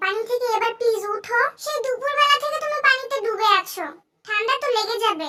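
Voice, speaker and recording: A female-sounding, put-on character voice at an extremely high pitch moves at a moderate pace. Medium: audio drama. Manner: bossy, scolding.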